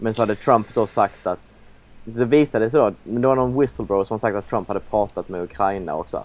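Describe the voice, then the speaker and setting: With music in the background, a man with a fairly low pitch talks at a fairly quick pace and ordinary pitch variation. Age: 20s. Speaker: podcast co-host. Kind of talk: casual chat.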